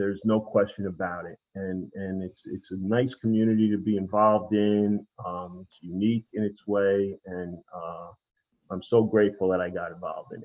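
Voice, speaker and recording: At a moderate pace, a man speaks in a monotone, flat intonation, with big swings in loudness. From New York, Long Island. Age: 60s. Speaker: former lacrosse player and store owner. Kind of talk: podcast interview. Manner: halting, many repetitions.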